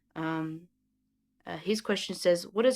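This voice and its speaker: In a very clean recording with a silent background, a woman speaks at a moderate pace. She has an Australian accent and a fairly low pitch. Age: 20s. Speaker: YouTuber. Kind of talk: casual chat. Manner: halting.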